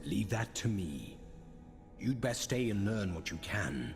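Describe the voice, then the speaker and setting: A man speaks in a put-on character voice, fairly low in pitch. His pace is fairly slow, and there is clear background noise. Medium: video game. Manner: cold, clipped.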